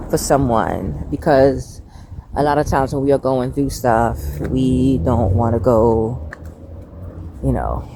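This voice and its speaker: Through noticeable background noise, a woman with a very deep, low pitch speaks at a very slow pace with lively intonation. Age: 50s. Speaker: faith vlogger. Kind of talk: casual talk to camera.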